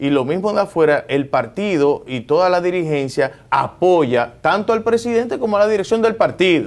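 With hardly any pauses, a man in a high voice talks at a moderate pace using lively intonation. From Dominican Republic. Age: 40s. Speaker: government agency director and politician; politician. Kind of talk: TV interview. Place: office. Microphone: lapel.

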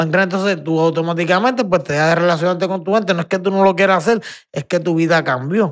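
A man speaks very fast at a high pitch with ordinary pitch variation. The background is quiet. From Puerto Rico. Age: 40s. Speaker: retired professional boxer; podcast guest. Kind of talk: casual interview chat. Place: studio. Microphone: studio mic.

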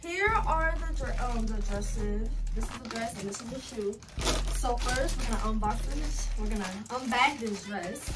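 Long, frequent pauses at a moderate pace over loud background noise. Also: woman. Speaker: haul vlogger. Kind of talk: casual vlog chat. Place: home room. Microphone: camera far.

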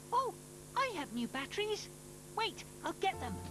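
A cartoonish character voice, female-sounding and in a British accent, is heard over loud background noise. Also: moderate pace. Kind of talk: children's cartoon dub. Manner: gentle, polite, caring.

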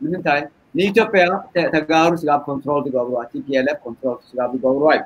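His pitch shifts in an ordinary way. The man keeps to a moderate pace. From Eritrea. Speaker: political debate panelist; panelist. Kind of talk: debate discussion. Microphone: video call.

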